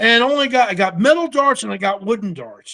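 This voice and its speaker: A man's extremely high voice, fairly quick and animated, with very wide pitch swings. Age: 60s. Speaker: TV survivalist and army veteran. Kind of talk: casual chat.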